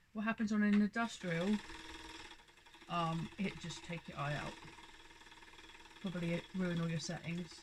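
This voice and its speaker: A woman with a fairly low pitch talks at a moderate pace, her intonation fairly even. She takes long, frequent pauses amid noticeable background noise. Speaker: sewing fabric shop owner. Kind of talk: tutorial. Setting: home sewing room. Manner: loud; casual.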